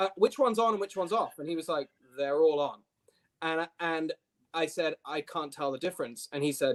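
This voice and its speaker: With a dry, close sound and no echo, a man talks fairly quickly at a high pitch, using ordinary pitch variation. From UK. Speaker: nonprofit CEO. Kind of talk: podcast interview. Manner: many fillers (um, uh).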